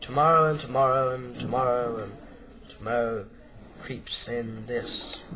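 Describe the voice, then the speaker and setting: A man puts on a character voice at a medium pitch, keeping his intonation fairly even. He leaves long, frequent pauses, and background noise is clearly heard. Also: moderate pace. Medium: audio drama. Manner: brusque.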